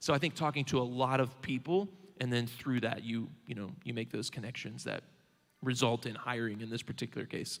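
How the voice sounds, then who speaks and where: In a Southern Indiana accent, a man speaks at a medium pitch with ordinary pitch variation and a fairly quick pace. The recording is very clean, with a silent background. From Southern Indiana, rural. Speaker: bank regional manager. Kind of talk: onstage interview.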